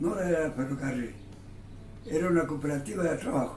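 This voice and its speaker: A man in a fairly high pitch, with ordinary pitch variation and a moderate pace, music in the background and audible room echo. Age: 80s+. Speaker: retired railway workshop worker, interviewee. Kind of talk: oral history interview.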